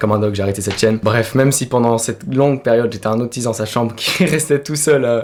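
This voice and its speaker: A man at medium pitch with ordinary pitch variation, talking at a very fast pace amid noticeable background noise. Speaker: youtuber. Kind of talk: personal testimony.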